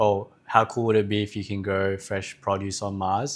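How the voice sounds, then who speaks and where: A man with a fairly low voice speaks at a moderate pace on a very clean recording with a silent background. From Australia. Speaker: startup co-founder. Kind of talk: interview. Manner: hesitant.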